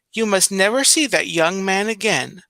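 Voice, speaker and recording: Moderate pace and a high pitch in a man's put-on character voice. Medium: read story.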